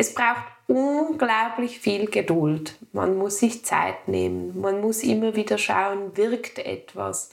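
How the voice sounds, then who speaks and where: A woman talks very slowly, noticeable background noise behind her. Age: 30s. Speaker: woman with endometriosis sharing her story. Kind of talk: personal interview conversation.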